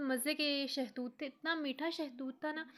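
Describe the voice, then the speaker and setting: A woman's high-pitched voice in a monotone, flat intonation. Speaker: vlogger. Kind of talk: casual vlog narration. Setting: outdoors.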